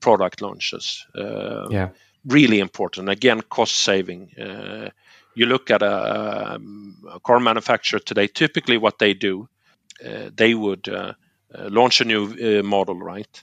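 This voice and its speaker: This man's voice is fairly low and carries vocal fry. His intonation stays fairly even. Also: fairly slow pace. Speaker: technology company guest. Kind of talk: casual interview conversation. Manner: hesitant, uses fillers.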